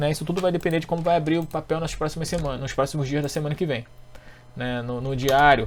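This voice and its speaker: Very fast speech from a man, fairly high in pitch, with fairly even intonation. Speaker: economist and stock market trading teacher. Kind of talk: technical chart analysis tutorial.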